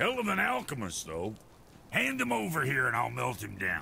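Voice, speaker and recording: A man does a raspy, put-on character voice at a moderate pace. Background noise is clearly audible. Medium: video game. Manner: gruff, crude.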